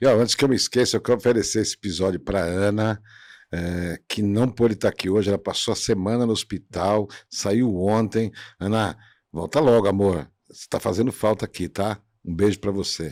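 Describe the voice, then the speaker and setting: A man at a moderate pace with ordinary pitch variation, on a very clean recording with a silent background and a dry, close sound with no echo. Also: fairly low pitch for a man. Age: 60s. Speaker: podcast host. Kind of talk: casual chat. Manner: animated.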